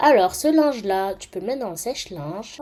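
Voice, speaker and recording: Very wide pitch swings from a woman at a medium pitch, over noticeable background noise. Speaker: gaming YouTuber. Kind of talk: gameplay commentary. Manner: casual with many hesitations.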